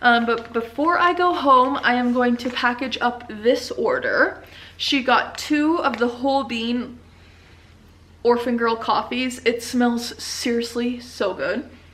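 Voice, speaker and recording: Over noticeable background noise and audible room echo, a woman talks at a very slow pace in a high pitch with ordinary pitch variation. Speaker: vlogger and small business owner. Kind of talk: casual vlog talk.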